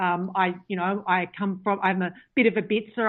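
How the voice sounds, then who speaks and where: With an Australian accent, a woman talks. She keeps to a moderate speed. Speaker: author and pagan practitioner. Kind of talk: interview. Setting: phone call.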